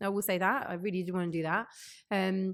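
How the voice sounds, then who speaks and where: Speaking with a West London accent, a woman has a medium pitch. She talks at a fairly quick pace. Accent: West London (Hounslow). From West London, Hounslow. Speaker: radio and TV presenter. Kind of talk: podcast interview.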